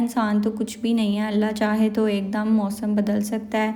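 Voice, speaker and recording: With a dark, mellow tone and fairly high pitch, a woman speaks at a moderate pace amid audible room echo. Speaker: vlogger. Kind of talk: shopping vlog.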